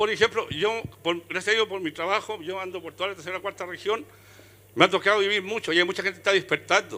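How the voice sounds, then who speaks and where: A raised, projected voice with a bright, sharp tone at a fairly quick pace. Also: man. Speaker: audience member. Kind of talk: audience comment. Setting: book fair with live audience. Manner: with conviction.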